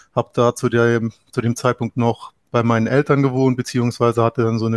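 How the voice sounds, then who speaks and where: A man with a medium pitch talks at a fairly quick pace in a flat monotone. The sound is dry and close with no echo, and the background is quiet. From Trier area, Rhineland-Palatinate, Germany. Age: 30s. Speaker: landlord, property investor. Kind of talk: interview.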